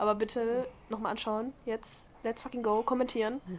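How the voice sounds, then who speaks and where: Her pitch is high for a woman. She keeps a moderate pace in a flat, monotone delivery. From Germany. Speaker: podcast co-host. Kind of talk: casual chat.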